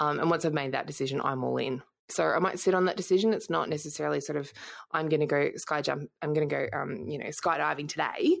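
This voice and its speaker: A woman talks at a very fast pace with an Australian accent. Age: 30s. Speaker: entrepreneur and former police intelligence analyst. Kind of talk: interview conversation.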